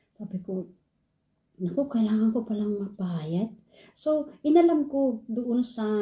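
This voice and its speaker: A dark, mellow tone, somewhat breathy, at a fairly slow pace. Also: woman. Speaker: online English teacher and vlogger. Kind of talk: casual vlog.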